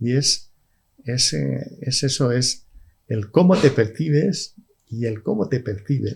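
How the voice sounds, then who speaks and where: A man talks very slowly with lively intonation and a medium pitch. His voice is somewhat breathy. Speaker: stroke survivor with aphasia. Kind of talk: podcast interview. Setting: studio. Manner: halting, repeats words.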